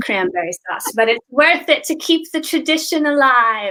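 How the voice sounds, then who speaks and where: A woman with a high pitch and a bright, sharp tone projects her raised voice at a moderate pace, her pitch swinging very widely. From Boston, US. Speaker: English teacher. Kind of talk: casual chat on a live stream.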